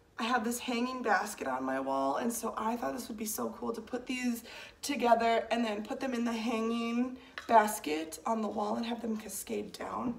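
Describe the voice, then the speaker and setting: A woman with a fairly high voice talks at a moderate pace with lively intonation, amid noticeable background noise and audible room echo. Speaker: plant collector vlogger. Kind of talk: casual chat.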